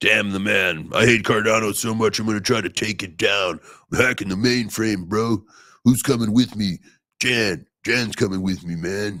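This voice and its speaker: A man performs a put-on character voice at a fairly low pitch. The recording is very clean, with a silent background. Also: moderate pace. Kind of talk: casual slang. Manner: lazy, dramatic, mock-rebellious.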